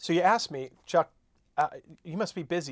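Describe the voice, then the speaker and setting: A man talks at a fairly quick pace. The recording is very clean with a silent background and a dry, close sound with no echo. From Long Island, New York. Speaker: author and seminary professor. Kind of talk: casual interview. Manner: hesitant, many fillers.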